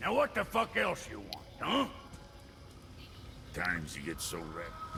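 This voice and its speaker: A man's rumbling, put-on character voice at a moderate pace, over clear background noise. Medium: video game. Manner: crude, grumbling, sarcastic.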